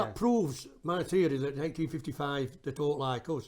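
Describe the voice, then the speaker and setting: In a Yorkshire accent, a man speaks with lively intonation. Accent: Barnsley Yorkshire dialect. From Barnsley, Yorkshire. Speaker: singer and film documentarian. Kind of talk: interview answer. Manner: casual, chatty.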